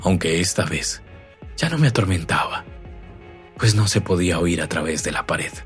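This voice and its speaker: Music plays in the background as a man speaks with a very deep, low pitch. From Colombia. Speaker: narrator. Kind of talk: horror story reading. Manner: dramatic, rhythmic.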